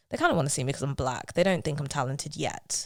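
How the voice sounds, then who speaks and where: A woman's very deep, low voice in a London accent, on a very clean recording with a silent background. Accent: London street accent, road girl speech. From South London. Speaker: musical theatre actress. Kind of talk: podcast interview. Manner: animated.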